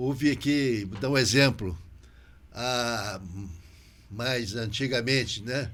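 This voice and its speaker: At a very slow pace with long, frequent pauses, a man with a medium pitch and ordinary pitch variation speaks amid audible room echo. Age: 80s+. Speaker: podcast host. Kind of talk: interview podcast conversation. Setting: local TV studio.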